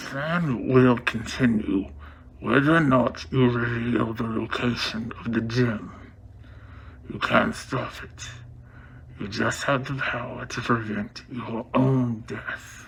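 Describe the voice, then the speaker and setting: Putting on a character voice at medium pitch, a man speaks at a fairly slow pace with ordinary pitch variation over clear background noise. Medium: short film. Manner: cold, controlled.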